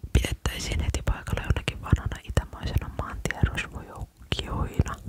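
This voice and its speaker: Someone whispers over noticeable background noise. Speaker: ASMR creator. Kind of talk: bedtime story reading. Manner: whispered, uneven reading pace.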